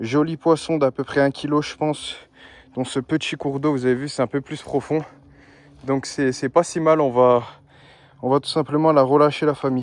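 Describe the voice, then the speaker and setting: This man's pitch is fairly high and his intonation fairly even. He speaks at a fairly slow pace. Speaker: angler. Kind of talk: live commentary while fishing. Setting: outdoors.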